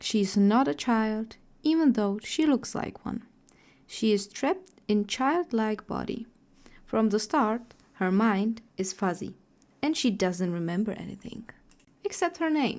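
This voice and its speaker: Her voice is fairly high with very wide pitch swings, in a non-native accent. The woman speaks at a fairly slow pace with long, frequent pauses. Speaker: artist and storyteller. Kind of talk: character backstory narration.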